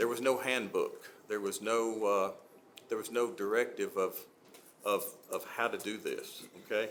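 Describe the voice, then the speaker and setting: A man with an Alabama accent at a fairly slow pace, long and frequent pauses, and audible room echo. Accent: US Southern (Alabama). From Gadsden, Alabama. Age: 60s. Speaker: city council member. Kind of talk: public meeting remarks. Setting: city council meeting. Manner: halting, many fillers.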